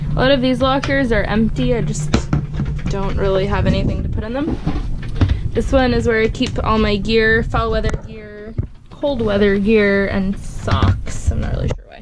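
Over music in the background, a woman speaks at a moderate pace with ordinary pitch variation and big swings in loudness. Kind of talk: casual vlog chat. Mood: relaxed, playful. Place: boat. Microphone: phone near.

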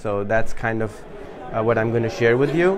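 A man speaks fairly slowly while background noise is noticeable behind him. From Pakistan. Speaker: social media entrepreneur and workshop speaker. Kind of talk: workshop talk. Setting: in-person meetup with live audience.

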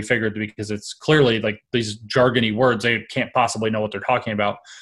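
Fairly even intonation carries a man's speech over a quiet background. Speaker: podcast guest. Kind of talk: interview answer.

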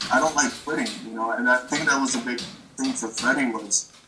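This man keeps his intonation fairly even while music sounds in the background. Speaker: remote interviewee. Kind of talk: interview answer. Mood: reflective, emotional. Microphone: video call.

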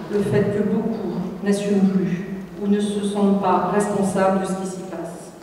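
A woman speaks at a very slow pace. Strong room echo and light background noise surround her. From southwestern France (Bordeaux, Charente-Maritime). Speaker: politician, regional list leader. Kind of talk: campaign speech. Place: hall.

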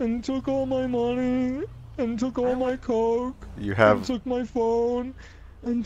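This man puts on a character voice at an extremely high pitch, flat and monotone. He speaks at a fairly slow pace over clear background noise. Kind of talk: comic overacting. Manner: frantic, bro-speak, self-pitying.

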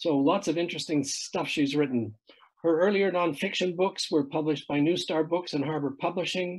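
A man's high voice with ordinary pitch variation, at a fairly quick pace, over a quiet background. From Canada. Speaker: event host. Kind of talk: introducing a guest. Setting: video call. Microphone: video call.

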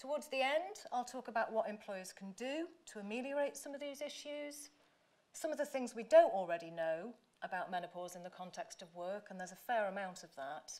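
The speaker has an English accent and talks at a fairly quick pace. Loudness swings widely, and pitch swings very widely. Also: woman, fairly high pitch for a woman. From England. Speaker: professor. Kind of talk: lecture. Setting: stage with audience. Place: hall. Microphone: podium.

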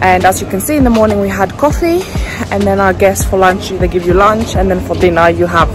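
Clear music plays in the background. The sound is dry, with no echo. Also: woman. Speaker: travel vlogger. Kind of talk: casual vlog chat. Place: street. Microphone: phone near.

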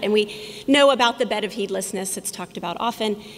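A woman talks at a moderate pace. Her intonation is lively. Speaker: conference speaker. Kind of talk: public talk. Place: hall. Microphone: podium.

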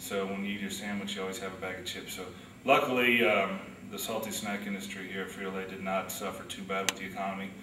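Over noticeable background noise, a man with a fairly low voice talks very fast in a flat, monotone way. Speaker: factory operations worker. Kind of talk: interview answer, workplace talk. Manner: conversational, some fillers.

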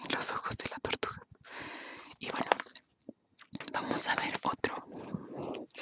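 A woman whispers at a very slow pace with long, frequent pauses, her voice dry and close with no echo. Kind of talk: casual talk to camera, intro and commentary. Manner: soft, whispered.

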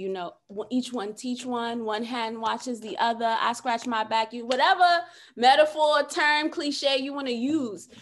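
Against a quiet background, a high-pitched woman with an American accent speaks at a fairly slow pace with ordinary pitch variation. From New York City. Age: 30s. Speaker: social worker and podcast host; podcast host. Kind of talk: casual interview chat. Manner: animated. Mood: emphatic, faith-inspired. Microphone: video call.

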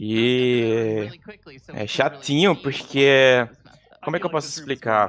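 Noticeable background noise sits behind a man's speaking voice. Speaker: speedrun commentator. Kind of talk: live commentary. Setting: live stream. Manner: animated.

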